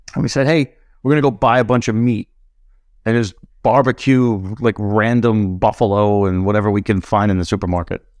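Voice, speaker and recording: At a fairly quick pace, a man with a New York accent and a fairly low-pitched voice speaks with fairly even intonation. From Brooklyn, New York. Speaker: snowboard apparel brand founder. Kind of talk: casual chat.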